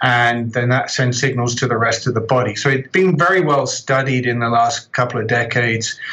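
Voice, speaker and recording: In an English accent, a man speaks at a fairly quick pace with hardly any pauses, a medium pitch, ordinary pitch variation, and very even loudness, over noticeable background noise. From southern England. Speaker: professor. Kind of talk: interview.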